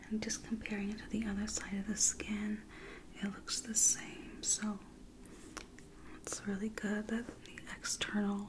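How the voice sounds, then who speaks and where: A soft-spoken woman talks at a fairly slow pace in a gentle tone, leaving long, frequent pauses. Her intonation is monotone and flat over noticeable background noise. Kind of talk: soft-spoken roleplay instructions. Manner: soft-spoken, gentle ASMR clinical voice. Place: home room. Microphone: studio mic.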